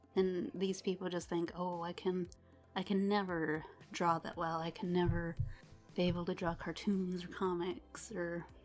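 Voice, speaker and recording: With music playing in the background, a woman speaks with fairly even intonation. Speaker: artist. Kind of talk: casual voice-over to drawing video.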